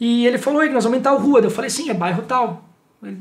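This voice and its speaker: A man talks at a very fast pace in an extremely high pitch, with audible room echo and noticeable background noise. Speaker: writer and former radio reporter. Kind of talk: interview.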